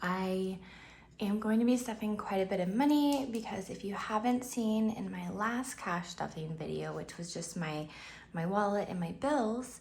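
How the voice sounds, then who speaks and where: In audible room echo, a woman speaks somewhat breathily at a fairly slow pace with ordinary pitch variation. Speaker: budgeting vlogger. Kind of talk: casual vlog tutorial. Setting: home, early morning. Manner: upbeat, cheerful; hesitant, many fillers.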